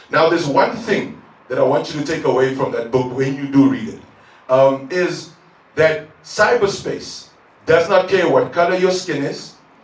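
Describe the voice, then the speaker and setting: Speaking at a moderate pace, a man has a high pitch and lively intonation. Noticeable background noise and audible room echo surround him. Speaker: tech entrepreneur. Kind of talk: conference talk. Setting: stage with audience.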